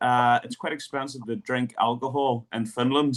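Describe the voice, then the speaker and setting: A man's medium-pitched voice with a Northern Irish accent. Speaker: football coach, podcast host. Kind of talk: podcast interview.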